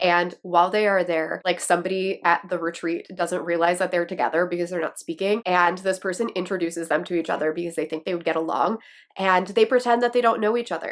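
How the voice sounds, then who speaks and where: A woman with a Wisconsin accent talks at a very fast pace in a fairly low pitch, with hardly any pauses. Her tone is animated, and the recording is very clean with a silent background. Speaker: book YouTuber. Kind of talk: casual vlog talk to camera.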